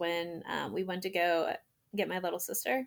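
A woman with an American accent and a normal speaking voice talks at medium pitch and a fairly slow pace, on a very clean recording with a silent background. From US Maryland. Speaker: resident doctor, adoptee. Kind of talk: casual interview chat.

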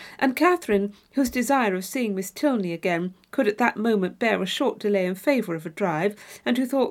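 Someone is heard reading aloud in a natural voice.

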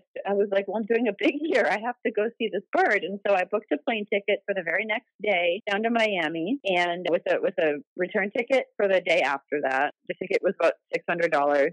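In an American accent, a woman talks at a fairly quick pace with hardly any pauses, lively intonation and a medium pitch, in a plain, everyday voice with a dry, close sound and no echo. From Wisconsin, US Midwest. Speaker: bird tour guide. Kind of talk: interview.

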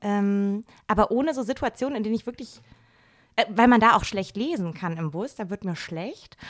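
A woman talks in an energetic tone at a fairly high pitch. Her pace is moderate, and the recording is very clean with a silent background. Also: lively intonation. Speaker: physician and journalist. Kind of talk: casual chat. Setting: home living room.

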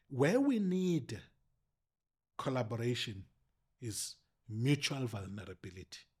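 The recording is very clean, with a silent background. A man speaks at a medium pitch and a fairly slow pace, sounding somewhat breathy. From South Africa, rural Eastern Cape. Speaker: political analyst and politics lecturer. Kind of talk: casual interview. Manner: halting.

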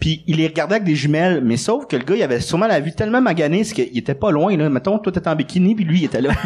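Very fast and with lively intonation, a man talks at a fairly high pitch. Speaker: comedian. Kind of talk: casual chat. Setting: stage with audience.

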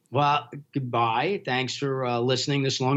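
Here a man speaks at medium pitch and a moderate pace. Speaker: film platform founder. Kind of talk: casual interview.

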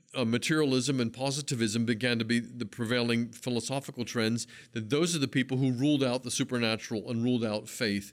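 A man with an American accent and an ordinary speaking voice, at a fairly quick pace, on a very clean recording with a silent background. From Pennsylvania. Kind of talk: interview.

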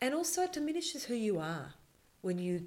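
Lively intonation and a fairly quick pace mark this voice in an Australian accent. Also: woman. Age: 50s. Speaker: filmmaker. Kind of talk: casual chat.

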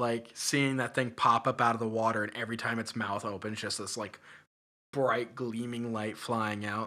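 Bright, sharp, monotone delivery with flat intonation on a very clean recording with a silent background. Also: man. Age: 30s. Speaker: hip hop musician. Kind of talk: casual chat.

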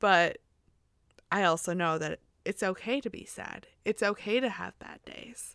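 A woman with an American accent speaks at a fairly slow pace in a normal speaking voice, her pitch medium with ordinary variation. Her loudness swings widely, and the recording is very clean with a silent background. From Missouri, US. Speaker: childcare provider. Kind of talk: casual interview chat.

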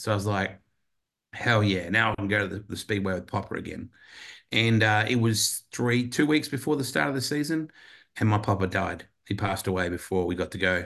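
With an Australian accent, a man speaks at a fairly quick pace in a fairly low pitch. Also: ordinary pitch variation, quiet background. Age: 50s. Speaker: motorsport commentator. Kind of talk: casual chat.

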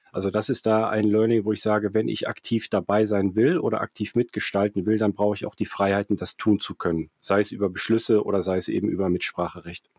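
At a very fast pace with hardly any pauses, a man talks in a fairly low pitch and fairly even intonation, captured as a dry, close sound with no echo on a very clean recording with a silent background. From Germany, Cologne (Rhineland). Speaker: finance entrepreneur, startup managing director. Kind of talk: interview. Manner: halting, many fillers and repetitions.

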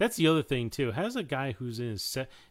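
The voice is an unremarkable speaking voice with lively intonation. It is recorded very cleanly against a silent background. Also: man. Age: 30s. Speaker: film podcast host. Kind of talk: casual chat.

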